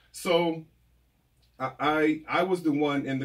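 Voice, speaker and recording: With an American accent, this man keeps his intonation fairly even. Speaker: diversity consultant. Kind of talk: public comment at virtual board meeting. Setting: video call.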